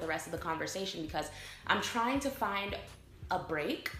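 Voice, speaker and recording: Amid noticeable background noise and audible room echo, a woman with a medium pitch talks at a fairly quick pace with lively intonation. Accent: American. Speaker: vlogger. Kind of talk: casual vlog talk to camera.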